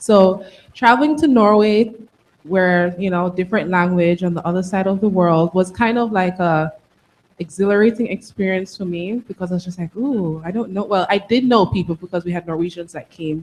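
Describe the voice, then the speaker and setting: A woman with a Jamaican accent speaks at a medium pitch. Her pace is moderate and her pitch variation ordinary. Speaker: tech alumna panelist. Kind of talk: panel discussion.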